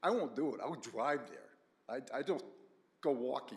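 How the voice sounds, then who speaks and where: With pitch that varies in an ordinary way, an ordinary speaking voice is heard. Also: man. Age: 60s. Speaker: resident speaking at public hearing. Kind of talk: public comment at town meeting.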